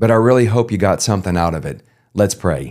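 In a South Louisiana accent, a man talks with a dark, mellow tone and ordinary pitch variation on a very clean recording with a silent background. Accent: Cajun South Louisiana English. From South Louisiana (Cajun). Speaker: Bible reading podcast host. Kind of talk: devotional commentary; scripture reading aloud.

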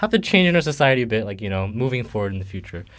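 Lively intonation marks this man's speech at a very fast pace. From Quebec. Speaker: student podcast co-host. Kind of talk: casual chat.

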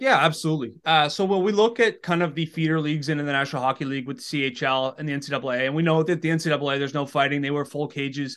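A man with a Maritime Canadian accent talks very fast with hardly any pauses. His fairly high voice has ordinary pitch variation over a quiet background. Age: 20s. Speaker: hockey content creator. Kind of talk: casual interview. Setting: remote call.

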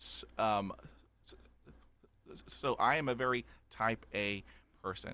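A man with a Texan accent has a bright, sharp tone, a fairly low pitch and ordinary pitch variation. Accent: Texan Southern US. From Texas. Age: 50s. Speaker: podcaster who stutters. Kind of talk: personal testimony in interview. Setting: remote call.

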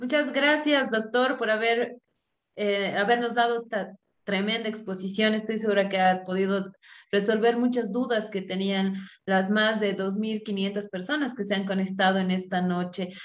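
A woman's plain, everyday voice, medium in pitch, fairly slow and fairly even in intonation. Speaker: workshop host and moderator. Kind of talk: moderated Q&A, formal. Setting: video call. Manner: formal.

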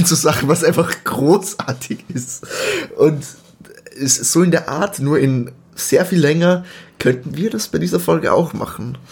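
A man's fairly high-pitched voice at a fairly slow pace, with ordinary pitch variation, long, frequent pauses and noticeable background noise. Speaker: podcast co-host. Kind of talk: casual chat.

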